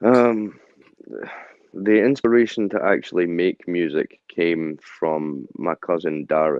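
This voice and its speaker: Here a man with a Scottish accent speaks at a very slow pace. His very deep, low voice carries lively intonation. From central Scotland (Stirling). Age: 30s. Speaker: rapper and security guard. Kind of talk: interview.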